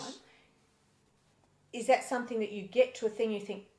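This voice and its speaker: Her voice is somewhat breathy, with a fairly high pitch and fairly even intonation. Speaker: interviewer. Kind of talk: interview questions.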